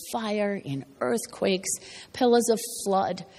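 A fairly slow delivery over noticeable background noise. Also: woman. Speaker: preacher. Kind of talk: sermon.

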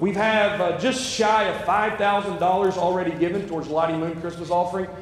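Audible room echo surrounds a man speaking at a fairly quick pace with fairly even intonation. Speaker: interim pastor. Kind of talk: sermon. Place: church. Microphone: lapel.

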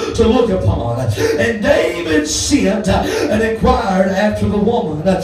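A man speaks at a fairly slow pace with audible room echo and music in the background. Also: lively intonation. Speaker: preacher. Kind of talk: sermon. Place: church. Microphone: camera far.

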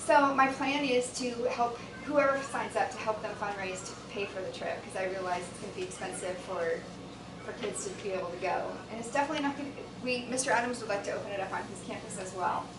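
A woman talks at a very fast pace with ordinary pitch variation over noticeable background noise. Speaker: presenter. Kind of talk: presentation to a board. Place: meeting room. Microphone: camera far.

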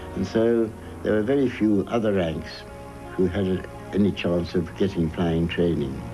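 Over music in the background, a man with a very deep, low pitch talks at a fairly slow pace, his loudness very even and his intonation lively. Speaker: war veteran. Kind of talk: interview answer.

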